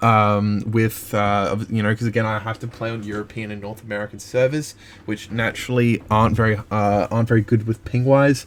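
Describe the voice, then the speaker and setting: A man talks at a fairly quick pace in an Australian accent, his intonation monotone and flat. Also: fairly low pitch for a man. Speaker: gaming youtuber. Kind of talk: rant review. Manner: fast; hesitant, many fillers.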